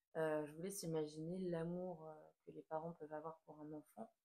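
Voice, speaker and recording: A woman with a very deep, low voice speaks at a moderate pace. Her intonation stays fairly even and her tone is dark and mellow. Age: 20s. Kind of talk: casual talk to camera. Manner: hesitant, many filler sounds.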